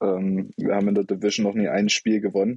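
Delivered in a monotone with flat intonation, a man's dark, mellow voice moves at a fairly quick pace, with a dry, close sound and no echo. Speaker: football podcast co-host, fan. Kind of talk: casual chat.

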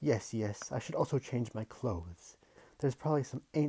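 Natural-voiced reading aloud

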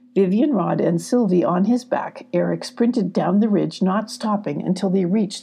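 With ordinary pitch variation, the text gets plain reading aloud.

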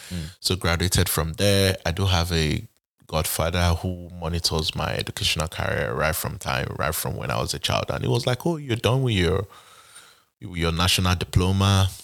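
A man speaks with a very deep, low pitch, vocal fry and lively intonation. The recording is very clean, with a silent background. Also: moderate pace. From Nigeria (Benin City, Edo State). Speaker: Nigerian immigrant to the US. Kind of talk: interview, casual chat.

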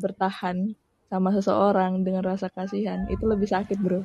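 A woman with a medium-pitched voice is heard in a dry, close recording with no echo. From Samarinda, East Kalimantan. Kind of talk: casual chat.

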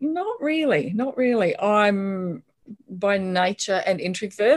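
The speaker has lively intonation and talks with an Australian accent. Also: woman. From Australia, Brisbane. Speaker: author. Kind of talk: casual interview chat.

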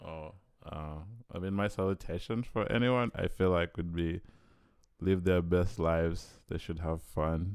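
On a very clean recording with a silent background, a man speaks at a fairly slow pace with a very deep, low pitch. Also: ordinary pitch variation. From Uganda. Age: 20s. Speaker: engineering student. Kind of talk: casual chat.

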